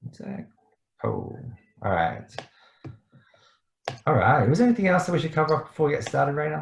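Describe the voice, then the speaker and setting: Speaking fairly quickly but with long, frequent pauses, a man with an Australian accent uses a fairly high pitch, lively intonation and vocal fry. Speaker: startup mentor. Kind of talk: online presentation. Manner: fast.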